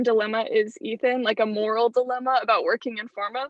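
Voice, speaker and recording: Fairly even in intonation and moving at a fairly quick pace, the recording carries a plain, everyday voice. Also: woman. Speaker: university student. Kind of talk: class introduction.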